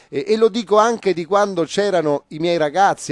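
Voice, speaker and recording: A man speaks with lively intonation. The sound is dry with no echo, over a quiet background. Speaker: interviewee. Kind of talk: interview answer.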